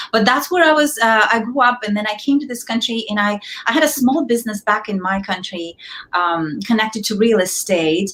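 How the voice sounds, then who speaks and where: In a Russian accent, a woman speaks at a medium pitch and a fairly quick pace over noticeable background noise. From Kazakhstan. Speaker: entrepreneur and author. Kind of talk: interview.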